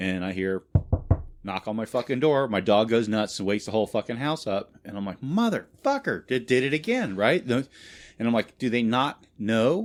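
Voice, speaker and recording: The recording is very clean, with a silent background. A man talks at a moderate pace and medium pitch with ordinary pitch variation. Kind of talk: casual podcast banter. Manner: animated, profane storytelling.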